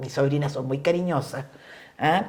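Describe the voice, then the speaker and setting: A woman speaks in a Chilean accent with lively intonation. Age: 70s. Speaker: feminist politician. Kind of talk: casual chat. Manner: animated.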